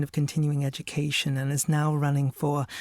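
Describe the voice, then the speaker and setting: In a very clean recording with a silent background and a dry, close sound with no echo, a man speaks at a fairly high pitch, somewhat breathy. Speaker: audiobook narrator. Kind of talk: audiobook narration. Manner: measured, narrative.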